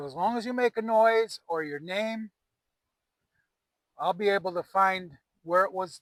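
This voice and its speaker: Lively intonation marks this moderate-paced voice with an American accent. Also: man. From US Midwest. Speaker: paranormal investigator. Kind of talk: on-location investigation vlog, calling out to spirits. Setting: outdoors in a cemetery at night.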